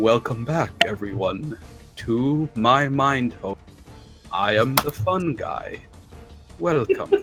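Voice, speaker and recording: Using a put-on character voice at medium pitch, a man speaks very slowly with long, frequent pauses over clear music in the background. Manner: charming, welcoming.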